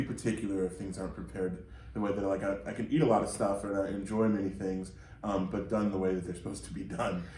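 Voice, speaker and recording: A man talks at a fairly quick pace with a fairly low pitch. Audible room echo surrounds his voice. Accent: slight Midwestern. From US Midwest, outside Detroit. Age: 50s. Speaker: podcast co-host, DJ and label co-owner. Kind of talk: casual chat.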